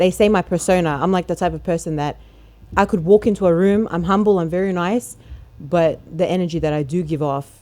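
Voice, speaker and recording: A fairly quick pace with ordinary pitch variation in an Australian accent. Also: woman, fairly low pitch for a woman. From Australia, Melbourne. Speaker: rapper. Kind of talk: interview.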